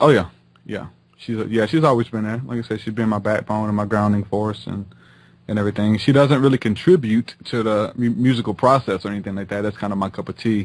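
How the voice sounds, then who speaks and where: Very fast and fairly low-pitched, a man with a Southern US accent keeps his intonation fairly even. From Louisiana, near New Orleans (Houma). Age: 20s. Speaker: rapper and minister. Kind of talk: interview conversation. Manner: stutters; casual, filler-heavy.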